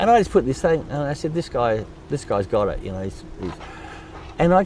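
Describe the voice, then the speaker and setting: Noticeable background noise fills the clip. A man's pitch swings very widely as he talks at a fairly quick pace. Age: 70s. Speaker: drummer and charity founder. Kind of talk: interview.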